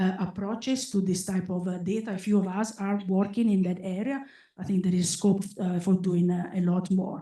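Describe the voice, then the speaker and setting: A somewhat breathy voice with a dark, mellow tone at a moderate pace. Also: woman, medium pitch for a woman, fairly even intonation. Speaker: statistics professor, conference speaker. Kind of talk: academic conference talk. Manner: many fillers and repetitions, halting.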